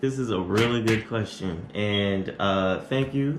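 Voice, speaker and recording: A man with an American accent speaks at a very slow pace in a fairly low voice. Room echo is audible. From Arizona. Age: 20s. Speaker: YouTuber. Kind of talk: Q&A vlog. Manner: casual.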